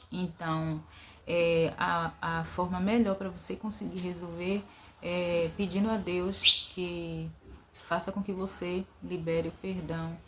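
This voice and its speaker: A woman speaks very slowly in a fairly low, monotone voice with flat intonation. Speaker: vlogger. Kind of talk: inspirational talk. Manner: hesitant fillers.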